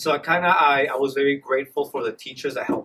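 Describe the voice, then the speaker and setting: A man with a Spanish accent and ordinary pitch variation, over noticeable background noise. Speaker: dual immersion teacher. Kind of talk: interview. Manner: casual, hesitant.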